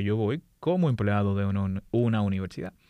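A man with a Dominican accent, fairly low in pitch and dark and mellow in tone, against a quiet background. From Dominican Republic, raised in Santo Domingo. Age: 40s. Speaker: aerospace engineer and lecturer. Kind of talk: casual interview.

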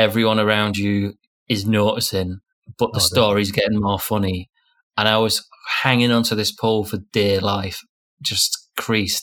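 The speaker has a northern English accent and a monotone, flat intonation. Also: man. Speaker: podcast co-host. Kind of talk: casual chat.

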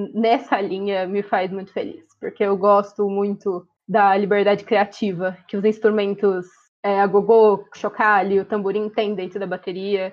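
A woman talks at a fairly slow pace and a medium pitch. Her intonation stays monotone and flat. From Ourinhos, São Paulo state, Brazil. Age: 20s. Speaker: dental student and university drummer. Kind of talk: casual interview. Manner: talkative.

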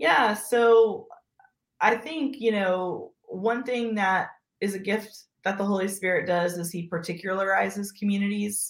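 Hers is a normal speaking voice, medium in pitch with ordinary pitch variation, and the woman talks at a fairly slow pace. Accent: American. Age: 30s. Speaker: pastor. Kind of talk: casual interview conversation.

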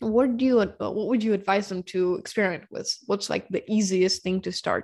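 A woman with a Ukrainian accent, against a quiet background. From Ukraine, Dnipro. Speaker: podcast host, biohacker. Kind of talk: casual interview.

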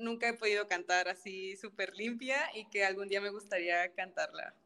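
Using fairly even intonation, a woman speaks at medium pitch and a fairly slow pace in a bright, sharp tone. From Mexico, Tampico, Tamaulipas. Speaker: opera singer, soprano. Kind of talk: casual interview chat.

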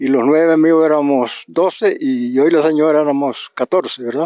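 A man's fairly high-pitched voice, dark and mellow in tone, at a moderate pace, with a dry, close sound and no echo. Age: 80s+. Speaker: farmer. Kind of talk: testimony. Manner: halting.

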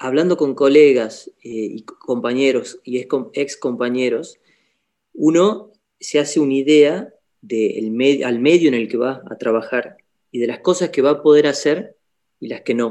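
With a dark, mellow tone, this man's pitch varies in an ordinary way. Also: fairly high pitch for a man, fairly slow pace. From Argentina, Salta. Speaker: doctor (orthopedic surgeon). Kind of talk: casual interview chat.

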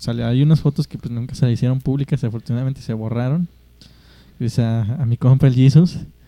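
Dry, close sound with no echo carries a dark, mellow tone. The pace is fairly quick, with ordinary pitch variation. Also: man. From Mexico. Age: 20s. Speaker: podcast host. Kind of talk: casual chat.

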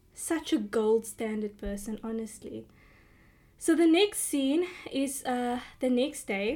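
A woman speaks in a high voice at a fairly slow pace. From South Africa, Cape Town. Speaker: podcast host, TV recapper. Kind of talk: casual solo recap. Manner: animated.

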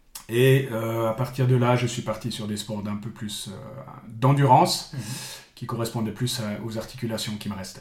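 A man at medium pitch, fairly slow and fairly even in intonation, with audible room echo and noticeable background noise. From Switzerland, Bulle (canton of Fribourg). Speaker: sports coach. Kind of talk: interview. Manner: halting, frequent repetitions.

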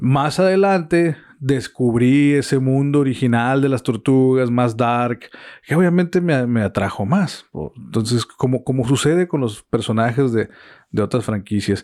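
A man with an unremarkable speaking voice, medium in pitch with ordinary pitch variation, at a fairly slow pace and very even loudness, in a very clean recording with a silent background. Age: 40s. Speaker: podcast host. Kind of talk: casual chat. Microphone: equipment sometimes sounds bad.

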